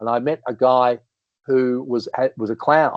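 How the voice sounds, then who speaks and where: A man with an Australian accent, medium pitch, ordinary pitch variation and a moderate pace. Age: 60s. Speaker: comedian and entertainer. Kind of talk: casual chat.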